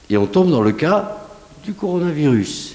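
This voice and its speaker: Amid audible room echo and noticeable background noise, a man with a southwestern French accent speaks at a fairly slow pace with very wide pitch swings. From southwest France. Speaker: scientist, researcher. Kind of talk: conference talk, Q&A answer. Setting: conference hall with audience. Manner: animated, conversational.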